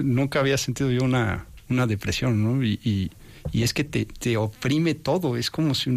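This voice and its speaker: A man with a Mexican accent speaks at a fairly slow pace, his medium pitch showing ordinary variation. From Mexico. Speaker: entrepreneur, industrial engineer. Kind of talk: interview testimony. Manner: halting, repeats words.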